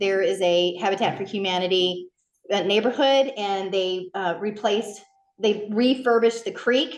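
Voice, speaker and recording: A woman at a medium pitch talks at a moderate pace with fairly even intonation. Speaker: beekeeping club president. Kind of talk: club meeting announcements. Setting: meeting room with audience, streamed on Zoom. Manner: loud. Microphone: conference speakerphone instead of handheld mic.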